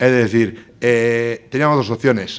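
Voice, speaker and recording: The speaker is a man with a medium-pitched voice. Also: very clean recording, silent background. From Basque Country, Spain (Bilbao). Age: 40s. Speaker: politician, tourism director. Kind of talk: conference talk. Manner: fast.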